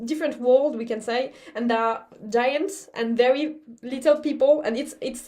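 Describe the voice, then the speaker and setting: In a French accent, a woman speaks at a moderate pace with ordinary pitch variation. Her voice is high in pitch and dark, mellow in tone. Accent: obvious French. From France. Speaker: baroque violinist. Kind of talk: pre-concert talk. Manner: halting, many repetitions.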